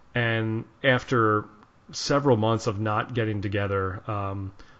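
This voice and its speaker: A man's fairly low-pitched, a plain, everyday voice, with fairly even intonation. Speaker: podcast host, musician. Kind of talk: podcast interview talk.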